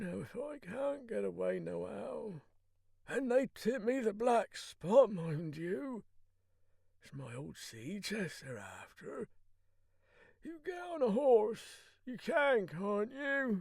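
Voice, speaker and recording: A man puts on a character voice that is high-pitched and raspy. He speaks at a very slow pace with big swings in loudness. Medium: read story. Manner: rough, salty, desperate.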